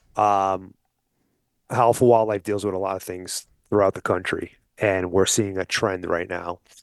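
In an American accent, a man speaks at a moderate pace with a very deep, low pitch and monotone, flat intonation. The sound is dry and close with no echo, over a quiet background. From New York (Brooklyn and Long Island). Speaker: hunting outfitter and wildlife advocacy group vice president. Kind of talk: casual interview.

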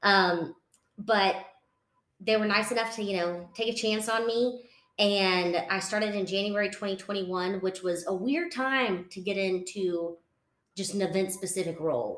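A woman speaks at a fairly slow pace with a Texan accent. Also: medium pitch for a woman, ordinary pitch variation. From West Texas. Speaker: association events director. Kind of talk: casual interview chat.

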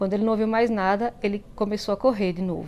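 A woman talks fairly quickly in a dark, mellow tone with fairly even intonation. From Bahia, Brazil (interior, semi-arid). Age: 40s. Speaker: listener sharing a story. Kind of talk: personal storytelling. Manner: halting, many fillers and repetitions.

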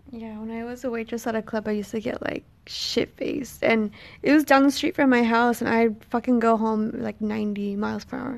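In an unremarkable speaking voice, a woman talks at a fairly quick pace with fairly high pitch, fairly even intonation and big swings in loudness. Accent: American. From Texas. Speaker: podcast guest, host's girlfriend. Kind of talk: casual chat. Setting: on vacation in Hawaii.

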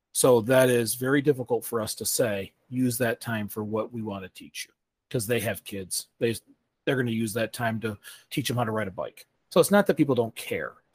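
A normal speaking voice from a man, medium in pitch with ordinary pitch variation, at a fairly quick pace, in a dry, close sound with no echo. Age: 40s. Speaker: sustainability podcast host. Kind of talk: Q&A town hall answers; scripted podcast intro and outro.

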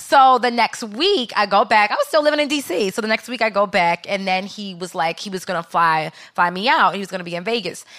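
A woman's medium-pitched voice, bright and sharp in tone, with lively intonation, a fairly quick pace and hardly any pauses. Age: 20s. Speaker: podcast co-host. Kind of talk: casual chat.

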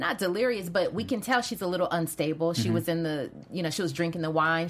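Vocal fry runs through speech delivered at a very fast pace. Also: woman. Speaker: after-show host. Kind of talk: casual panel chat.

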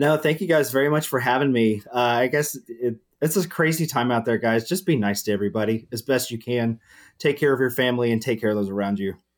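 This man talks at a very fast pace in a Southern US accent. His pitch sits in the middle range, with ordinary variation. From Huntsville, Alabama. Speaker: aerospace engineer, quiz contestant. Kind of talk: casual chat.

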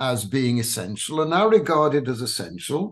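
Speaking with an English accent, a man uses a fairly high pitch. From England. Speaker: rabbi. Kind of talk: interview.

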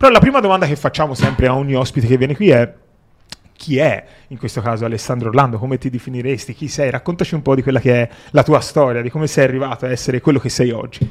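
His pitch is medium for a man. He talks very fast. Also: ordinary pitch variation. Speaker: podcast host. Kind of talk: interview. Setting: in-person interview.

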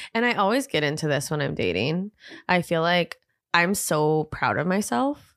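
In a very clean recording with a silent background, a woman with an unremarkable speaking voice talks at a moderate pace, her fairly low pitch carried by lively intonation and very even loudness. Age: 20s. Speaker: hairstylist and educator. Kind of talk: casual chat.

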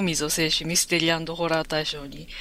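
Moderately paced speech, very clean recording, silent background. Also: woman. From Osaka, Japan. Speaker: novelist. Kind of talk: casual interview chat. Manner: hesitant, many fillers.

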